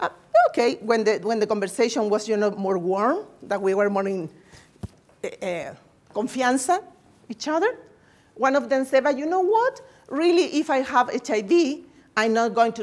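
At a fairly slow pace, a woman speaks with a Spanish accent and lively intonation. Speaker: nursing researcher. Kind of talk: lecture. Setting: seminar room with audience. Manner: halting; good-humored. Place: meeting room.

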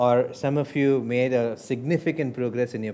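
The voice has a dark, mellow tone and moves at a fairly slow pace over light background noise. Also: man. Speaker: hypnosis and personal development trainer. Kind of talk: hypnotic induction demo, storytelling recap in a hypnosis-style pattern. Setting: live seminar room with participants. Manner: slow, soothing, rhythmic, warm and reassuring, with pauses; formal-ish, persuasive, repetitive 'you' language. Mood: warm, smiling, upbeat. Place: meeting room.

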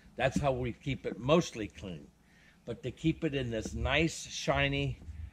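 A man's vocal fry and very wide pitch swings over noticeable background noise. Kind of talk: casual vlog chat. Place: open country. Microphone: phone near.

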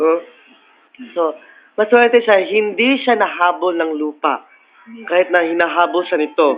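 A man speaks at a fairly slow pace with a high pitch and ordinary pitch variation. Long pauses come often. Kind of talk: playful mock interview. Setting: classroom. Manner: animated, laughing often.

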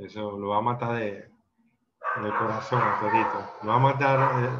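The speech shows ordinary pitch variation against noticeable background noise. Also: man. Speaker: film discussion participant. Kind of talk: casual group discussion of a film. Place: home room. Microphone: video call.

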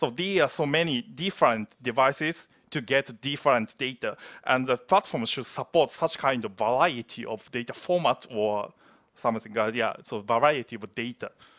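A man speaks in a Japanese accent at a moderate pace. His pitch varies in an ordinary way, and the background is quiet. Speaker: platform engineer. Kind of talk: conference presentation. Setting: stage with audience. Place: hall.

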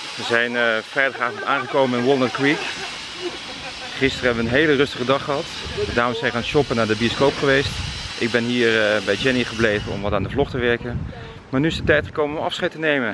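A man talks at a very fast pace with ordinary pitch variation, his voice dry with no echo over noticeable background noise. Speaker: travel vlogger. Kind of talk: casual vlog chat. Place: street. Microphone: phone near.

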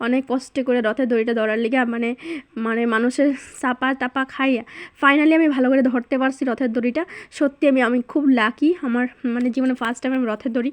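A woman speaks in a high, monotone voice with flat intonation. The sound is dry and close, with no echo. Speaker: vlogger. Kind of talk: vlog narration. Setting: outdoors at a chariot festival.

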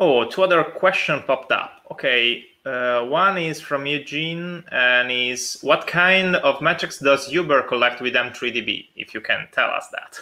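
In an Italian accent, a man speaks at a fairly slow pace. His voice is fairly high, with ordinary pitch variation. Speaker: conference host; conference session moderator. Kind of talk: live Q&A moderation. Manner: halting. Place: home room. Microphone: video call.

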